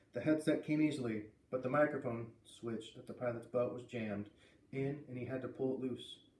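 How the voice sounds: Audible room echo surrounds a man with a slightly mellow tone who talks at a moderate pace with ordinary pitch variation.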